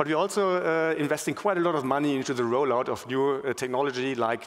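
At a fairly quick pace, a man talks at medium pitch with ordinary pitch variation.

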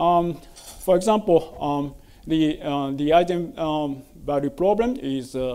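The man's voice carries a dark, mellow tone. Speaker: conference speaker. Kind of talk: lecture. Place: hall.

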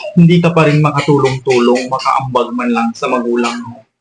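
A man talks with ordinary pitch variation while music plays behind him. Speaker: vlogger. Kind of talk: angry rant, scolding lecture aimed at freeloading grown children. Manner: indignant, scolding, forceful and emphatic with repeated commands; rapid, exasperated, rhetorical tag questions like 'o di ba?'.

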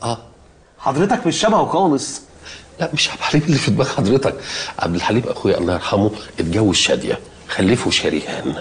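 There is light background noise behind this man. His pitch swings very widely as he speaks. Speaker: actor playing a father. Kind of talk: scripted comedic dialogue. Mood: nervous, laughing, flustered. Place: office.

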